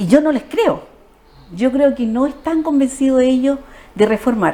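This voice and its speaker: A woman speaks in a high pitch with lively intonation. Noticeable background noise is present. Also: fairly slow pace. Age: 60s. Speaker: social worker, politician. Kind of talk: TV interview.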